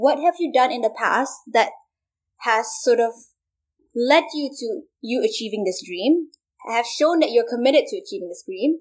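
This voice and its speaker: A woman speaks at a high pitch with very wide pitch swings and big swings in loudness. Long, frequent pauses break up her speech. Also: moderate pace. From Malaysia. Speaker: university student, Rhodes scholar. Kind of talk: casual interview chat.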